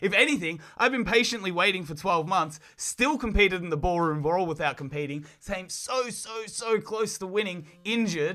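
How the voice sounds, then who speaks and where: Hardly pausing, a man with an Australian accent uses a raised, projected voice at a high pitch. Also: lively intonation, moderate pace. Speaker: professional wrestler. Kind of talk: casual chat.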